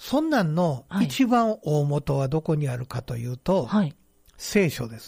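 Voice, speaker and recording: Fairly high male voice with very wide pitch swings, somewhat breathy, in a dry, close recording with no echo. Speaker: band director and author. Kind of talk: casual radio chat.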